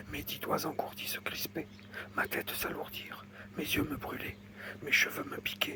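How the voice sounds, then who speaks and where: A man whispers at a fairly slow pace, leaving long, frequent pauses. Noticeable background noise runs underneath. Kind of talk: ASMR whispered reading. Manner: whispered.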